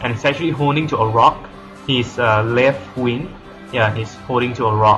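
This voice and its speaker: A man talks at a moderate speed over background music. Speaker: digital artist. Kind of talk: casual tutorial narration. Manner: hesitant, many fillers.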